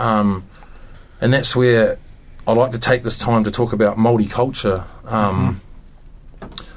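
With long, frequent pauses and a fairly slow pace, a man speaks at medium pitch in a monotone, flat intonation. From New Zealand (Maori, from up north). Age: 30s. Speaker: former gang member sharing recovery story. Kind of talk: personal testimony interview. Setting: radio studio.

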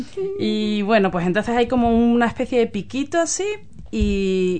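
A woman speaks with an Andalusian accent. Her pace is fairly slow. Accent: Andalusian Spanish (Cádiz). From Spain, Cádiz (Andalusia). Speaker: community group chair, photographer. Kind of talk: radio interview.

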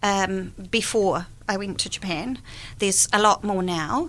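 With a New Zealand accent, a woman speaks at a medium pitch in a bright, sharp tone. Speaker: guest, author and volunteer. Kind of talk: casual interview chat. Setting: radio studio.

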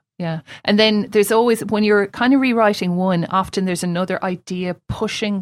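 Fairly quick and fairly even in intonation, with a Limerick accent, on a very clean recording with a silent background. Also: woman, medium pitch for a woman. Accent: Limerick Irish. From Ireland, suburban Limerick. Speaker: novelist and poet, creative writing lecturer. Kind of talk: casual interview.

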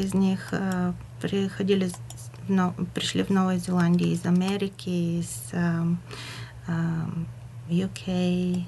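A woman speaks very slowly with a Bulgarian accent. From Bulgaria, Burgas. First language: Bulgarian (speaking Russian). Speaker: community radio presenter. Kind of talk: radio interview. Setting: radio studio. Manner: halting, searching for words.

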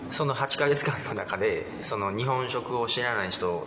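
There is audible room echo and noticeable background noise. A man speaks at a medium pitch with ordinary pitch variation. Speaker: restaurant owner. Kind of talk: interview.

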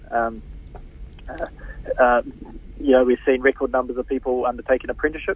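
Speaking with a New Zealand accent, a man talks at a fairly quick pace but leaves long, frequent pauses. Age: 40s. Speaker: politician. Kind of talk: radio interview. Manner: halting, many fillers and repeats.

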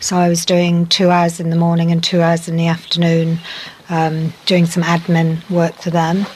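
A woman's flat, monotone delivery moves at a moderate pace while noticeable background noise carries on. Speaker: medical professional, interviewee. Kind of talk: casual interview. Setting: outdoors on a deck, recorded earlier.

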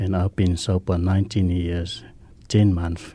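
With a Samoan accent, a man speaks at a very slow pace in a very deep, low pitch, somewhat breathy and flat in intonation. His tone is dark and mellow. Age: 50s.

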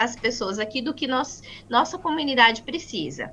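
A woman speaks in a bright, sharp tone. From Brazil, Paraná (Maringá). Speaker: co-creator of a news portal for Brazilian immigrants. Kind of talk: interview.

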